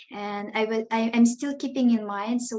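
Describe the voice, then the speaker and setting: This woman's voice is fairly high, with a dark, mellow tone. She talks at a moderate pace with fairly even intonation. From Tajikistan. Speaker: education startup founder. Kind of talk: self-introduction in group video chat. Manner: halting.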